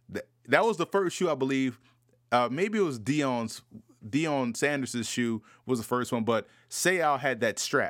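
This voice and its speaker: Against a silent background in a very clean recording, a man with an American accent speaks at medium pitch and a fairly slow pace, with lively intonation and long, frequent pauses. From US South, New Orleans. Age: 30s. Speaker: football analyst podcast host. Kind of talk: solo podcast commentary.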